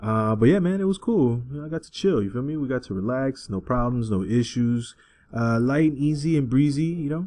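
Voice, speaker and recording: Against a quiet background, a man with an American accent speaks at a fairly quick pace and a medium pitch. His tone is dark and mellow, with lively intonation. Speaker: podcast host. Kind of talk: casual banter podcast.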